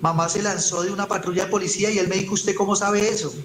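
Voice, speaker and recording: A man with a high voice talks at a very fast clip in a flat monotone, with audible room echo and noticeable background noise. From Colombia, Ibagué. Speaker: evangelist. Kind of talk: testimony. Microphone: voice heard too quietly.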